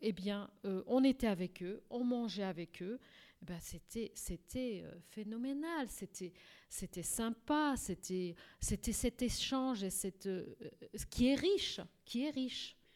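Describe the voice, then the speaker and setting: Talking at a very slow pace, a woman with a Portuguese accent uses lively intonation. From Portugal. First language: Portuguese (speaking French). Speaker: court interpreter and translator. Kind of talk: radio interview. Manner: halting, many repetitions.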